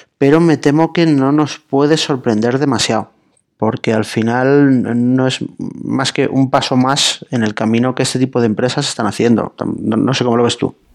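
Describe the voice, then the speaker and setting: Man with a plain, everyday voice, medium pitch, moderate pace and fairly even intonation. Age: 30s. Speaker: journalist. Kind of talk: casual interview.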